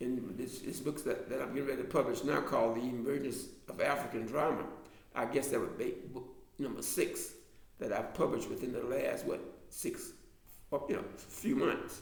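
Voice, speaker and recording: Speech at a moderate pace comes through with audible room echo and noticeable background noise. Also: man. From US South, Alabama. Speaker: author and drama lecturer. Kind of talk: casual online class talk. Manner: halting.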